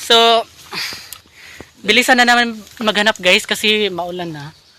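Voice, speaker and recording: A raised, projected voice carries over noticeable background noise. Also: man, high pitch for a man, ordinary pitch variation, fairly slow pace. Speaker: vlogger. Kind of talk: casual vlog chat. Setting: outdoors.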